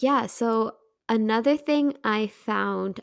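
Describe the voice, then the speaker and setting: The recording is very clean, with a silent background. A woman talks at a fairly high pitch with ordinary pitch variation. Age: 20s. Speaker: podcast co-host. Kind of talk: casual chat. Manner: animated.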